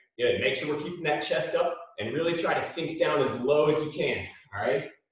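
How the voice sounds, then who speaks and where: A man talking at a fairly quick pace, strong room echo over a quiet background. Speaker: PE coach. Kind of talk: workout instruction. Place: gym. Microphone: camera far.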